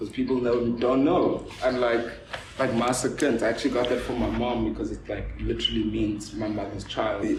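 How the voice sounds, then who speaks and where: A man with a South African accent at a moderate pace, with noticeable background noise and audible room echo. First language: Afrikaans. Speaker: visual artist and art dealer. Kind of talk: casual chat.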